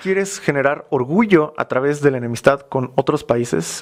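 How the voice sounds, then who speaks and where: Noticeable background noise runs under a man speaking with a Mexican accent. His medium-pitched voice has ordinary pitch variation. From Mexico. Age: young. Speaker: youtuber, cultural commentator. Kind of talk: interview. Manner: hesitant fillers.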